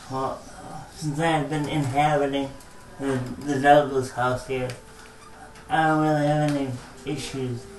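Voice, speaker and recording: Amid audible room echo, a man speaks at a fairly high pitch. His intonation is monotone and flat, with long, frequent pauses. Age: 40s. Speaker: care home resident with brain injury. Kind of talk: interview. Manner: very slow; halting.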